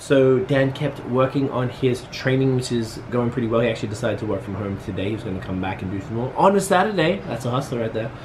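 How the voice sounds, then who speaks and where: The speech moves at a fairly quick pace with ordinary pitch variation, against noticeable background noise and audible room echo. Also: man. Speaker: vlogger and business owner. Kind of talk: casual vlog talk to camera. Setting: at home.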